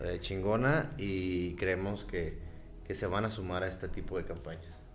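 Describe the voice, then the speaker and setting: Music plays in the background of this recording, which has audible room echo. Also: man. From Mexico. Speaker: podcast guest. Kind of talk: casual chat.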